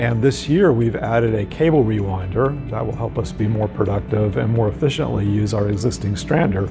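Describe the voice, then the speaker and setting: A man's fairly low voice at a fairly quick pace, with clear music in the background. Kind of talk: corporate promotional talk. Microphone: lapel.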